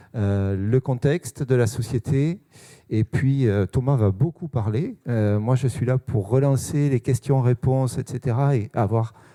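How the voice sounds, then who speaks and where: A man talks at a fairly slow pace with a dark, mellow tone. The sound is dry and close with no echo. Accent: Toulouse. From Toulouse, southern France. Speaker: sales manager. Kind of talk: conference talk. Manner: hesitant, many fillers.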